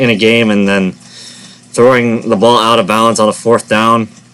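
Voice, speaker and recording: Over noticeable background noise, a man talks at a medium pitch in a flat, monotone delivery. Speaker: sports predictions youtuber. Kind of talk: casual monologue. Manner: stuttering, self-correcting.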